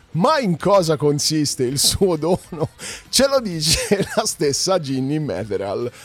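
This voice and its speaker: A man's fairly high voice at a very slow pace, with very wide pitch swings over noticeable background noise. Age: 40s. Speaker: podcast host and music presenter. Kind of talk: casual solo news commentary.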